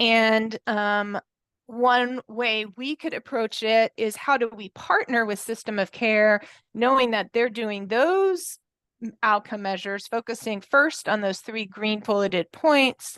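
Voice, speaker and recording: A woman with a plain, everyday voice, fairly high pitch and ordinary pitch variation, at a fairly slow pace, in a dry, close sound with no echo against a quiet background. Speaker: committee meeting presenter. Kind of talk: work meeting presentation.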